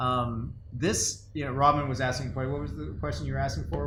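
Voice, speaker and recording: There is audible room echo as a man of medium pitch speaks at a moderate pace with very wide pitch swings. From Latin America, Spanish-speaking country. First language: Spanish. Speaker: company co-founder, podcast co-host. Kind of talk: casual chat. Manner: halting, many fillers and repeats.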